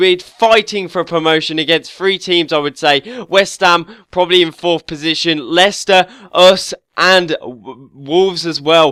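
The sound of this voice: A man's fairly high, nasal voice, bright and sharp yet clear and smooth, at a fairly slow pace with few pauses and ordinary pitch variation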